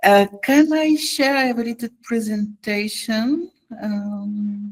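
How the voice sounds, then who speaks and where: Speaking very slowly in a non-native accent, a woman has a fairly high pitch with ordinary pitch variation. The sound is dry and close, with no echo. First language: not English. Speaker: music conference representative giving training. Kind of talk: online presentation. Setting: video call. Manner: hesitant, with fillers.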